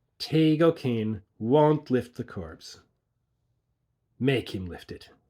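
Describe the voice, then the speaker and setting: Putting on a character voice, a man speaks at a very slow pace in a medium pitch on a very clean recording with a silent background. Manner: wicked, laughing.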